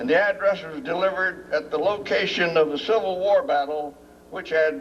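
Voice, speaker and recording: Background noise is clearly audible. The voice belongs to a man. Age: 80s+. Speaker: war veteran, retired military pilot, ceremony speaker. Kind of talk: public speech at memorial dedication. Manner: halting, many fillers.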